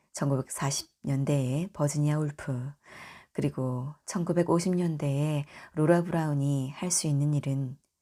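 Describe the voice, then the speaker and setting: A woman with a very deep, low pitch and a dark, mellow, gentle, calm tone speaks with fairly even intonation on a very clean recording with a silent background. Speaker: audiobook reader. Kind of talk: audiobook reading of a book about films, for sleep listening. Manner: gentle, calm, somewhat shy and unpracticed reading.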